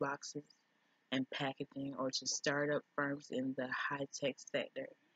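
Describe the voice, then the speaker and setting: Her pitch is very deep and low for a woman, with a slight Jamaican accent. She talks at a fairly slow pace. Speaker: business student vlogger. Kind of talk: reading aloud from a textbook. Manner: occasional stumbles over words.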